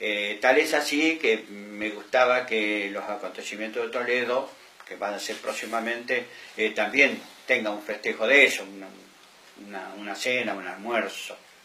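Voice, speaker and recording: Male voice at a medium pitch and fairly slow pace, with fairly even intonation and big swings in loudness, amid audible room echo and noticeable background noise. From Argentina, Buenos Aires province countryside. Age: 70s. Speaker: former municipal delegate, local elder. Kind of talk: interview testimony. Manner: hesitant, many fillers.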